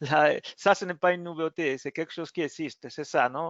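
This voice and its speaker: With a non-native accent, a man speaks at a fairly high pitch and ordinary pitch variation. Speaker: technical support engineer. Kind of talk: software webinar demo. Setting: online webinar. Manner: halting.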